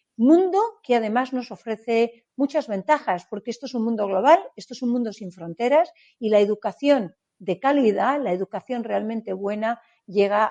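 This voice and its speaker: Speaking at a moderate pace, a woman with a fairly high pitch, a dark, mellow tone and lively intonation is heard in a dry, close sound with no echo. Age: 60s. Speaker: startup event organizer, business leader. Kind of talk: interview.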